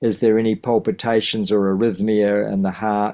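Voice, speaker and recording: The speaker is a man. He has a New Zealand accent. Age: 70s. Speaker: teacher of wellbeing and masters runner. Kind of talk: interview. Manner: halting.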